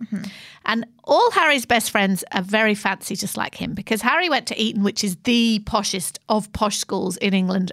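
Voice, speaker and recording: A woman's fairly high voice with ordinary pitch variation at a moderate pace, an unremarkable speaking voice, on a very clean recording with a silent background. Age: 50s. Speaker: podcast co-host, head of content. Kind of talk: casual storytelling chat.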